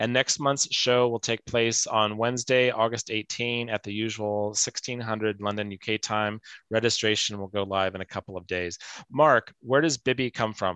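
A man talks at a moderate pace with fairly even intonation and a bright, sharp tone. The sound is dry with no echo, over a quiet background. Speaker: talk show host. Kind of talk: moderated interview show. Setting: video call. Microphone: video call.

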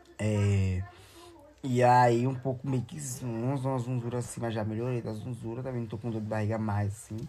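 With music in the background, speech moves at a moderate pace and its intonation stays fairly even. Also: man. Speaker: social media vlogger. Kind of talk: casual vlog chat. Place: home room. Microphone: phone near.

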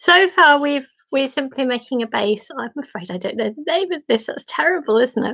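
In a British accent, the speaker has a bright, sharp tone and lively intonation at a moderate pace over a quiet background. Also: woman, high pitch for a woman. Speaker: origami teacher leading a group. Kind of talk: tutorial. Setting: video call. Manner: warm, friendly, chatty; easily tires voice. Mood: warm, gentle. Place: home room. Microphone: webcam.

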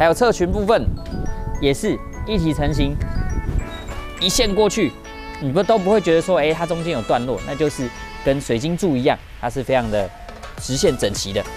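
Clear music plays in the background as a man talks. His pace is fairly quick, and the sound is dry with no echo. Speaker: car salesman. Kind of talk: product walkaround presentation. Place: street. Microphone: lapel.

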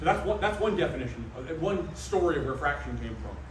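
This man speaks at a very fast pace, with audible room echo and noticeable background noise. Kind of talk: public history talk. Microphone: camera far.

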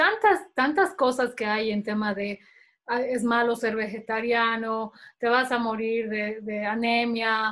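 It's a plain, everyday voice with fairly even intonation. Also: woman. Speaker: interview host, moderator. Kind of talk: interview. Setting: video call. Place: home room. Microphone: webcam.

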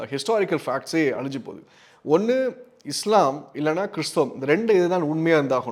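The voice belongs to a man with a high pitch. His intonation is lively. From Tamil Nadu, Tirunelveli. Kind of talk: religious teaching talk.

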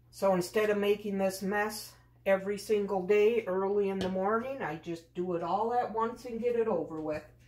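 Speech from a woman with ordinary pitch variation, set in audible room echo. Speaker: home vlogger. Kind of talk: casual vlog chat. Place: kitchen. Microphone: camera far.

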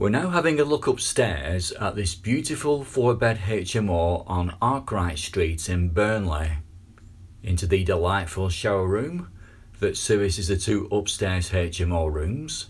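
A man with a fairly low pitch speaks at a fairly slow pace in a somewhat breathy voice with lively intonation. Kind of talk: property tour narration. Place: home room. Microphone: phone near.

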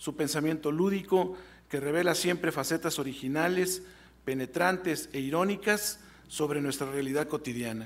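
A man at a fairly high pitch, with ordinary pitch variation and a moderate pace. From Mexico. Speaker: university rector. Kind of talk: formal ceremonial speech. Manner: formal. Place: hall. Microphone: podium.

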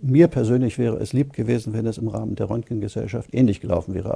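A man's medium-pitched voice with a dark, mellow tone and vocal fry, at a very fast pace with ordinary pitch variation, over a quiet background. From Germany. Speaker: radiologist. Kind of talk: interview answer. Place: studio.

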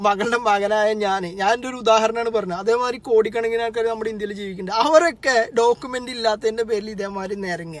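Light background noise sits behind a man with a high pitch and an animated tone. The sound is dry, with no echo. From Kerala. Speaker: social media commentator. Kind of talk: political monologue to camera. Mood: angry protest. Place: car. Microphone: phone near.

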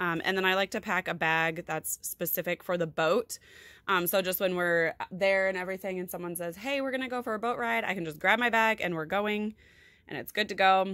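Against a quiet background with a dry, echo-free sound, a woman talks at a fairly quick pace with ordinary pitch variation. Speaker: lifestyle vlogger. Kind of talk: casual tutorial chat. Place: home room. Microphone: phone near.

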